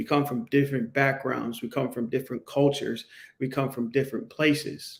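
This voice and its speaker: Keeping a moderate pace, a man speaks at a fairly high pitch with fairly even intonation. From Pittsburgh, Pennsylvania (US North). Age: 40s. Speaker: podcast host. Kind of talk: solo podcast monologue. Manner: halting, many restarts.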